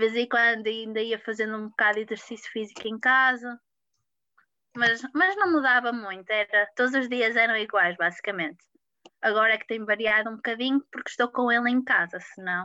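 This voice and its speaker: Fairly high in pitch, a woman talks at a fairly quick pace with a bright, sharp tone. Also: ordinary pitch variation. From Portugal, Porto. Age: 20s. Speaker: patient sharing illness story. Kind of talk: interview testimony.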